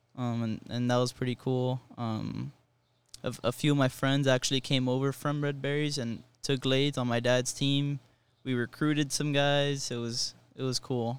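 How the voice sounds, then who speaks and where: In a flat monotone with an American accent, a man talks at a medium pitch. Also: moderate pace. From Miami, Florida. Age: 20s. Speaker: college baseball player. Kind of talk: interview.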